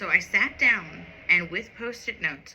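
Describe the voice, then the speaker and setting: A woman speaks with an American accent. Her pace is very slow. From United States. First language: Sinhalese. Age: 40s. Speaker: knitting podcaster. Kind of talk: casual storytelling monologue. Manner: occasional word-searching pauses.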